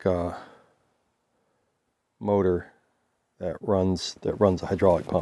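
A man talks at a very slow pace in a dark, mellow tone. The sound is dry with no echo, and the background is quiet. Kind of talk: casual explanatory tour. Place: open country. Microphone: phone near.

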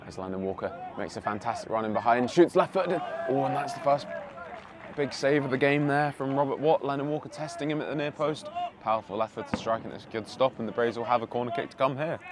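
With an animated tone and fairly high pitch, a man talks at a very fast pace with ordinary pitch variation over noticeable background noise. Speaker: football commentator. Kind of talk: live match commentary over highlights. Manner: fast, urgent play-by-play delivery; animated, rising excitement on chances and saves.

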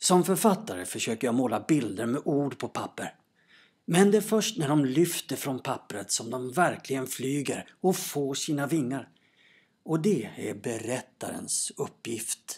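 A male voice pitched fairly high swings very widely in pitch while moving at a fairly slow pace. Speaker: storyteller, actor, presenter. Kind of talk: radio program presenter intro.

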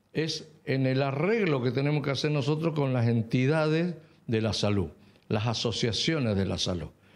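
A man's medium-pitched voice at a moderate pace, lively intonation, very even loudness, noticeable background noise. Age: 70s. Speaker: health sector representative. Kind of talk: news interview.

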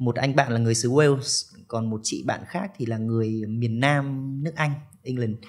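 Against a quiet background, the speech moves at a fairly slow pace with ordinary pitch variation. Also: man. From Vietnam. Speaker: study-abroad consultant; podcast guest. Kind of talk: interview. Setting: studio. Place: studio. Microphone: studio mic.

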